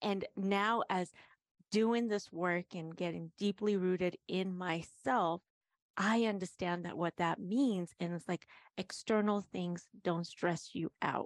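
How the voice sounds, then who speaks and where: A woman talks at a very slow pace with a medium pitch and fairly even intonation. The sound is dry and close with no echo, over a quiet background. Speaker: life coach. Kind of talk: casual chat.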